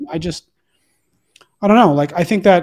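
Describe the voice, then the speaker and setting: A man speaks in a very clean recording with a silent background. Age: 40s. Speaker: entrepreneur guest, new to Christianity. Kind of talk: casual chat. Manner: halting, many restarts.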